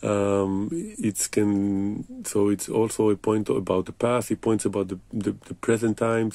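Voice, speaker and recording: In a dry recording with no echo, a man speaks with a fairly low pitch and a dark, mellow tone. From Israel. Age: 40s. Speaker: writer. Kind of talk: personal monologue to camera. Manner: hesitant, many fillers. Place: home room. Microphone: phone near.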